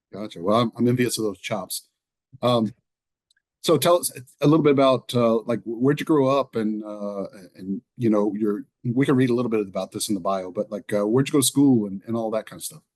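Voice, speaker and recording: An East Texas accent marks this man's medium-pitched voice, which rises and falls in an ordinary way at a fairly quick clip. The sound is dry and close, with no echo. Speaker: podcast host, choral director. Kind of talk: podcast interview.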